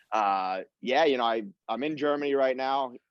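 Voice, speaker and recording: With an American accent, a man talks at a moderate pace in a plain, everyday voice with ordinary pitch variation. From Long Island, New York, US. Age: 20s. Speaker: professional footballer. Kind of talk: casual chat.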